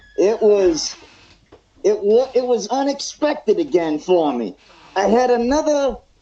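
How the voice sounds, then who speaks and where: A man with an extremely high voice speaks at a fairly slow pace with lively intonation. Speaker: wrestler. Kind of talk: casual interview. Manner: quiet, saving voice.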